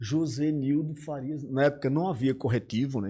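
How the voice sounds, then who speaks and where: Against a quiet background, a man with a northeastern Brazilian accent talks at a moderate pace in a dark, mellow, somewhat breathy voice. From Arapiraca, Alagoas, Brazil (Northeast). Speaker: English teacher. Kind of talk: casual interview chat.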